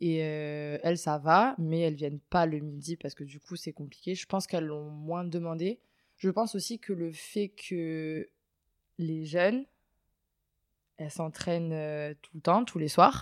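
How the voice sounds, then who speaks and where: A woman's fairly low voice, very slow, with ordinary pitch variation and big swings in loudness. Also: very clean recording, silent background. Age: 20s. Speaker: water polo player. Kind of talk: interview. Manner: hesitant.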